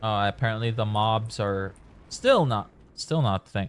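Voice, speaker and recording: Delivered at a fairly slow pace, the speech has a dry, close sound with no echo. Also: man. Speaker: gaming streamer. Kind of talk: live gameplay commentary. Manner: casual, chatty.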